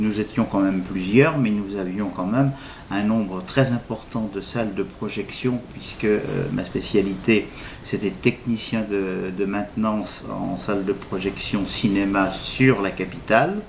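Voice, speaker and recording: Fairly low male voice at a fairly slow pace with fairly even intonation, over noticeable background noise. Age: 60s. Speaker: recovering alcoholic, retired cinema technician. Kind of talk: interview testimony. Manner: halting, many fillers.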